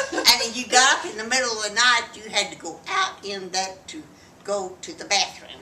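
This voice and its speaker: Speech in a Texan accent moves at a moderate pace with very wide pitch swings and big swings in loudness, over noticeable background noise. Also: woman, fairly high pitch for a woman. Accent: Texan Southern US. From Texas. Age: 80s+. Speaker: grandmother interviewed by family. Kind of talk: casual family interview.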